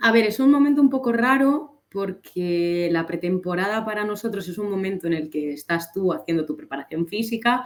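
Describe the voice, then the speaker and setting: At a moderate pace and with hardly any pauses, a woman at medium pitch speaks with lively intonation. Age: 20s. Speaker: fencer, elite athlete. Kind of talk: interview.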